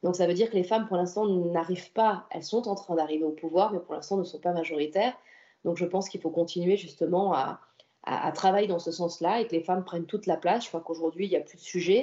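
Very fast delivery with fairly even intonation. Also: woman, fairly low pitch for a woman. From French Riviera, Antibes. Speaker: senator and local politician. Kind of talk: interview.

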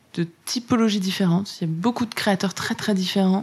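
The speaker uses ordinary pitch variation on a very clean recording with a silent background. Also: woman. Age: 30s. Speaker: influencer marketing manager. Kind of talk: interview.

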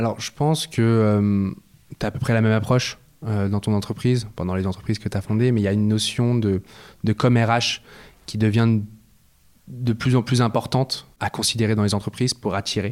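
In a very clean recording with a silent background, a man with a fairly low pitch talks at a fairly quick pace, his intonation fairly even and broken by long, frequent pauses. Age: 20s. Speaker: startup co-founder. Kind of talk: interview. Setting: office.

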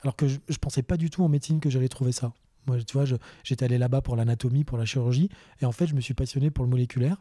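A man's somewhat breathy, dark and mellow voice at medium pitch, very fast and very even in loudness, dry and close with no echo on a very clean recording with a silent background. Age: 30s. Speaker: allergist doctor. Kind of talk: casual chat.

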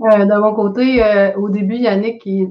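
At a fairly slow pace, a woman speaks at a medium pitch in a monotone, flat intonation. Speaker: real estate investor. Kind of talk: casual chat.

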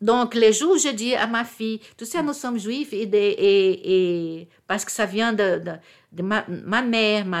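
Her fairly high-pitched voice comes through on a very clean recording with a silent background. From Brazil, Rio de Janeiro. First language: Portuguese (speaking French). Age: 60s. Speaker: retired diplomat and convert to Judaism. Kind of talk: personal testimony interview. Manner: halting, with repetitions.

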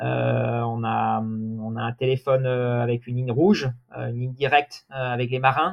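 Here a man talks at a medium pitch and a fairly slow pace. His intonation stays fairly even. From Normandy, France. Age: 30s. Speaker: deputy race director, sailing. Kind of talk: interview. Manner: halting.

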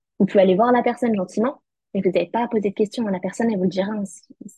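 A woman's medium-pitched, somewhat breathy voice at a very fast pace, with fairly even intonation. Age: 20s. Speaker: law student. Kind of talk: testimony.

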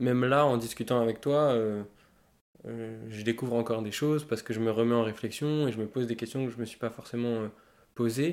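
A man talks at a fairly quick pace with fairly even intonation and long, frequent pauses. The recording is very clean, with a silent background. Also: medium pitch for a man. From Paris, 18th arrondissement. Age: 20s. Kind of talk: casual interview. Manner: halting.

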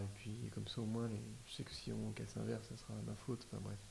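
A man is speaking. His pace is fairly quick. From Paris region, France. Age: 30s. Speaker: DIY renovator, interior design agency co-founder. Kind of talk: casual interview. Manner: halting, repeats words.

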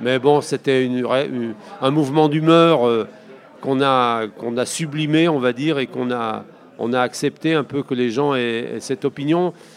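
A man speaks with fairly even intonation. Noticeable background noise runs under his voice. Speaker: federation founder. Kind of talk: interview.

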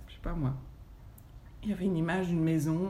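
Intonation stays fairly even. Audible room echo surrounds the voice. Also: woman. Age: 40s. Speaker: yoga teacher. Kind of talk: testimony. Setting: at her home.

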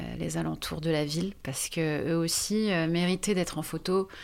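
A woman's fairly low pitch and fairly even intonation, on a very clean recording with a silent background. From France, Bordeaux. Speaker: photo book author. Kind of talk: podcast interview. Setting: recorded on location. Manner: hesitant.

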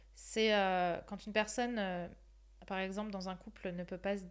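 A woman's plain, everyday voice at medium pitch, moderate pace and fairly even intonation. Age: 20s. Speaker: life coach. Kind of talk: casual chat.

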